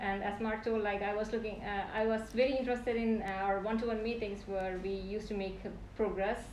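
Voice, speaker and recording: A woman's fairly high, flat, monotone voice at a fairly quick pace, with audible room echo and noticeable background noise. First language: non-English native language. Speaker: PhD candidate. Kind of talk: thesis defense acknowledgements speech. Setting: defense room, live-streamed. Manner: halting.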